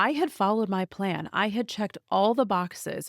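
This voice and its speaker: A woman's normal speaking voice at medium pitch with ordinary pitch variation, dry and close with no echo, very clean recording with a silent background. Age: 40s. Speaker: podcast host and life coach. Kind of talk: personal podcast monologue. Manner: warm, earnest.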